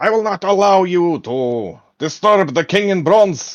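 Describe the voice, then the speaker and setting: In a shrill, put-on character voice, the speaker talks at a fairly slow pace. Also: man, high pitch for a man. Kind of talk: fantasy roleplaying, tabletop game. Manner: screeching, aggressive.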